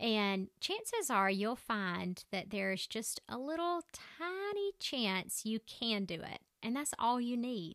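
With a strong Southern US accent, a woman speaks at a very slow pace with hardly any pauses, her fairly high pitch making very wide swings. The sound is dry and close, with no echo. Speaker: podcast host and physician assistant. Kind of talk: solo motivational podcast monologue. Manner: conversational.

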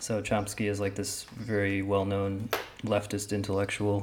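The voice is soft-spoken. Its tone is dark and mellow. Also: man. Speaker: podcast co-host. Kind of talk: casual chat.

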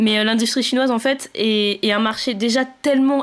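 A woman's fairly high voice, fairly even in intonation, moves at a moderate pace as noticeable background noise carries on. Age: 20s. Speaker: podcast co-host, computer engineer. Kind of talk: casual chat.

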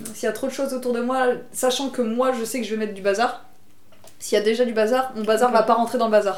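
Very fast, monotone delivery with flat intonation and audible room echo. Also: woman, fairly high pitch for a woman. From Bordeaux, southwest France. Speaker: illustrator. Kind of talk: casual interview. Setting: at her home.

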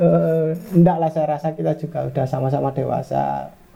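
A man speaking at a moderate pace over noticeable background noise. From Malang, East Java, Indonesia. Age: 30s. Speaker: footballer. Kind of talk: casual interview.

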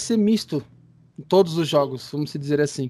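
This man speaks at a fairly quick pace. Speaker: radio host. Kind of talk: interview. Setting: Skype call.

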